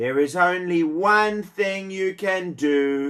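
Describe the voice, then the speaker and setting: In a put-on character voice of middle pitch, the speaker moves at a very slow pace. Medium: read story.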